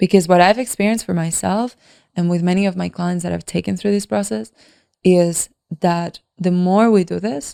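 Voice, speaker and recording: On a very clean recording with a silent background, a woman with a dark, mellow tone and fairly low pitch speaks at a moderate pace with ordinary pitch variation, dry and close with no echo. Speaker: podcast host and leadership coach. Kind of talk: solo podcast monologue.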